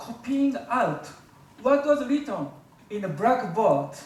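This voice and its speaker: Amid noticeable background noise and audible room echo, a man with a Japanese accent speaks at an extremely high pitch. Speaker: public speaker. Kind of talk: speech. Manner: halting.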